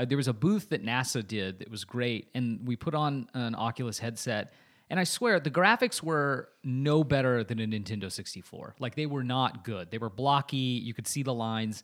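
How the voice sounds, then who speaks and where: Hardly any pauses break this man's moderate pace, in an ordinary speaking voice. His medium pitch has ordinary pitch variation, in a very clean recording with a silent background. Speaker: podcast host, social media agency founder. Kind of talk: casual chat.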